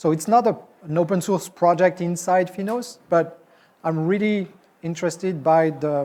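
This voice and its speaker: A man with a French accent, dark and mellow in tone, at a moderate pace with fairly even intonation. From France. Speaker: software executive and conference speaker; conference presenter. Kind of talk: conference talk. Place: hall.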